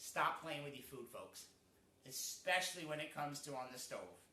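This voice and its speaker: Audible room echo surrounds a man with an American accent who speaks at a moderate pace and a fairly high pitch. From New England, US. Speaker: cooking show host. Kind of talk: cooking tutorial. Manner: casual, with many fillers.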